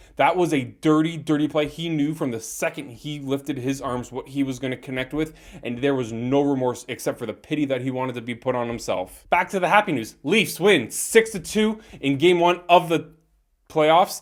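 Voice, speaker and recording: With ordinary pitch variation, a man's fairly high voice carries his words. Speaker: hockey podcaster. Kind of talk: solo sports recap. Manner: fast; animated.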